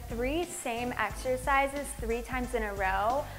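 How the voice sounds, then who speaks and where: A woman is talking while clear music can be heard behind her. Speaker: fitness instructor. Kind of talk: tutorial. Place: empty room. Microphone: lapel.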